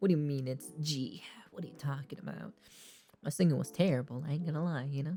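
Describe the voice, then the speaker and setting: Music plays in the background as the speech runs at a very fast pace. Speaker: streamer. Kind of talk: casual chat. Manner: casual, filler-heavy.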